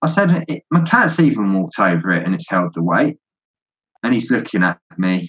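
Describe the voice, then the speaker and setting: A man's medium-pitched voice with a southern English accent and very wide pitch swings, at a moderate pace with long, frequent pauses, in a dry, close recording with no echo. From London, England. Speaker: Lego hobbyist builder. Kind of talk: casual interview.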